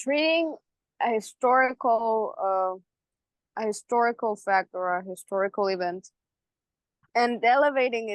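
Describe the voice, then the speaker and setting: In a dry, close sound with no echo, a woman with a non-native accent and fairly high pitch speaks with ordinary pitch variation. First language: not English. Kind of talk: casual chat. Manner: halting.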